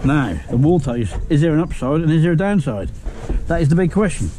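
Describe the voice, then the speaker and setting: Noticeable background noise runs under the voice. The talking goes at a moderate pace. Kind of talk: casual work commentary. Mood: jokey, good-humoured. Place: street. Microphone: helmet.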